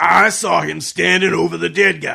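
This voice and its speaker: A man uses a raspy, put-on character voice, raised and projected. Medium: old radio play. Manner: gruff, blustering.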